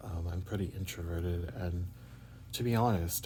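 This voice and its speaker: With a dark, mellow tone and a very deep, low pitch, a man speaks somewhat breathily at a moderate pace, his intonation fairly even, amid audible room echo. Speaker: vlogger. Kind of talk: personal video diary. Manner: halting, many fillers.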